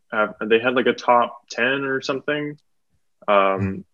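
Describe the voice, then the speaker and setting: This man has a medium pitch, speaks at a moderate pace, and shows ordinary pitch variation. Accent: Western Canadian. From Metro Vancouver, British Columbia, Canada. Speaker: stand-up comedian. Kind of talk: casual chat. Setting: podcast recording.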